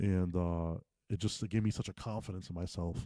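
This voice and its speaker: Very deep and low in pitch, a man speaks with an American accent and a dark, mellow tone. The recording is very clean, with a silent background. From Massachusetts (Fall River). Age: 30s. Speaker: boxing coach. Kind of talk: casual interview. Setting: boxing gym. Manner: animated.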